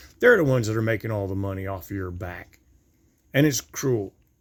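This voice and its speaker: Somewhat breathy, a man's voice rises and falls with lively intonation. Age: 60s. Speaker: vlogger. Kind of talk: monologue rant. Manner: repetitive, halting with stumbles.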